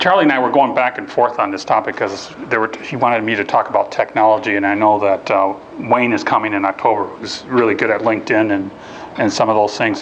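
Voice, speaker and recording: A man delivers his words very fast, his intonation fairly even, while noticeable background noise is present. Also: medium pitch for a man. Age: 50s. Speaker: job search workshop speaker. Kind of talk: lecture. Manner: casual, with frequent fillers and restarts.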